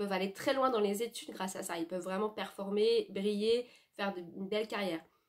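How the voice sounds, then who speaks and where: A woman speaks at a fairly quick pace, her pitch in the medium range. Her intonation stays fairly even. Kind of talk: personal reflection monologue. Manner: fast; halting, many fillers and self-corrections.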